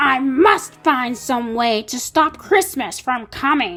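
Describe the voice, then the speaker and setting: A woman does a put-on character voice with a growl. Her pitch is high and her pace fairly slow. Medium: read story. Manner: snarling, sneering.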